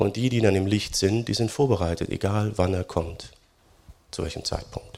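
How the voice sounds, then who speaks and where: At a moderate pace, a man with a normal speaking voice talks in a fairly low pitch with ordinary pitch variation. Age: 40s. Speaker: pastor. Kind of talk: sermon. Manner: conversational, many fillers.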